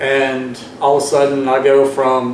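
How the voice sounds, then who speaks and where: A voice with a Southern US accent comes through noticeable background noise and audible room echo. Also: man. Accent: Southern US accent, still noticeable. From US South, Georgia. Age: 40s. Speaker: student veteran. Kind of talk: personal testimony speech. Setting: board meeting audience. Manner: halting, many fillers.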